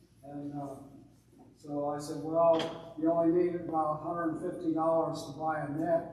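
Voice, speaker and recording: A man with a fairly high pitch talks at a moderate speed, audible room echo and noticeable background noise around him. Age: 80s+. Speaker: public commenter at city council. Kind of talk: public comment at council meeting. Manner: halting, many fillers.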